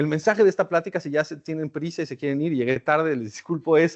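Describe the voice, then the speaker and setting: A man with a Mexican accent speaks at a fairly high pitch. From Mexico. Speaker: academic researcher. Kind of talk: lecture. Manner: conversational, with filler hesitations.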